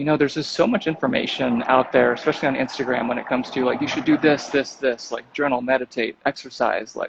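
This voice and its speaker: Over noticeable background noise, a man with a medium pitch talks at a very fast pace with hardly any pauses and fairly even intonation. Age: 30s. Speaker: wellness author and podcaster. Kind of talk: casual interview chat.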